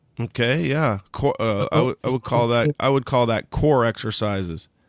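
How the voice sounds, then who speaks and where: This man has an ordinary speaking voice at a medium pitch, with ordinary pitch variation, very even loudness and a moderate pace. The recording is very clean with a silent background and a dry, close sound with no echo. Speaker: podcast host. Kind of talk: casual podcast interview.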